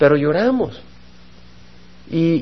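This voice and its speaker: Room echo is audible around the voice. A man speaks with lively intonation. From El Salvador. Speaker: pastor. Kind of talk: Bible study sermon.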